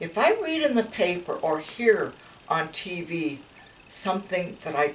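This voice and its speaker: Noticeable background noise accompanies a woman whose voice sits fairly low in pitch. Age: 80s+. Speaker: grandmother. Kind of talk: interview answer.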